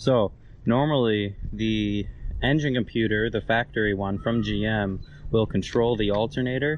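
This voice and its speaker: Delivered at a moderate pace with ordinary pitch variation, the voice sounds dry with no echo, over light background noise. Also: man. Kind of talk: tutorial. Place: garden. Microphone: phone near.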